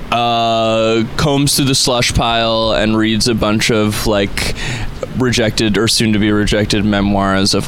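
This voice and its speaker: Against noticeable background noise, a man speaks fairly slowly at a fairly low pitch, with fairly even intonation and very even loudness. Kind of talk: live radio interview, casual chat. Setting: outdoors street broadcast, live radio. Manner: thoughtful, slightly hesitant with filler words, friendly.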